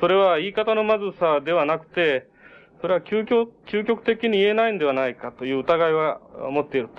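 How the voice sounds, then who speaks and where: Lively intonation colors a man's high-pitched voice as he speaks fairly quickly. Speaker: event moderator. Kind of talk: formal speaker introduction. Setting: lecture hall with echo. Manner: formal, hesitant.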